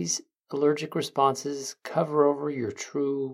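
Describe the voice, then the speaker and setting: The tone is soothing and calm. The pace is fairly slow. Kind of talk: guided meditation. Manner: slow, soothing and calm, with gentle pauses; soft-spoken and reassuring, warmly coaxing.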